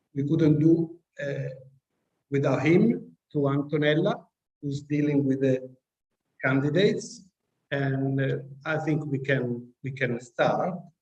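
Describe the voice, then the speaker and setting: With an Italian accent, a man speaks very slowly at a fairly high pitch, somewhat breathy. His pitch varies in an ordinary way, broken by long, frequent pauses. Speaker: professor chairing graduation committee. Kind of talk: ceremony announcements.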